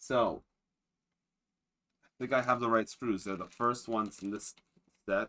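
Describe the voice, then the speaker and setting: A man's bright, sharp tone carries fairly even intonation. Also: medium pitch for a man, fairly slow pace. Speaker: streamer. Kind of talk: casual chat. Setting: live stream. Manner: halting.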